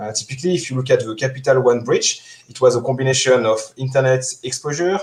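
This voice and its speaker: With a French accent, a man speaks very fast in a medium pitch, his voice somewhat breathy. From France. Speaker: security engineer. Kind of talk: conference talk. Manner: halting, many fillers.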